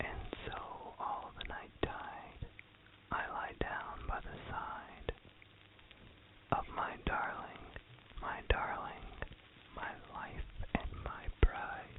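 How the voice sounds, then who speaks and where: A man whispering at a very slow pace, with long, frequent pauses, big swings in loudness and noticeable background noise. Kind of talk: whispered poetry reading. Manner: whispered, soft.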